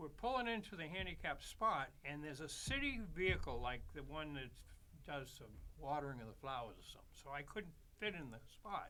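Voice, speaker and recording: A man's bright, sharp voice at a moderate pace, with audible room echo. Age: 80s+. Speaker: street musician, trumpet player. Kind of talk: casual chat. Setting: studio. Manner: halting.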